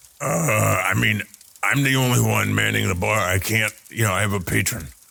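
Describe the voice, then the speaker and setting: This put-on character voice is raspy and moves at a fairly quick pace. Its pitch swings very widely. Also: man, very deep, low pitch for a man. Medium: actual play. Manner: hesitant, stammering, evasive.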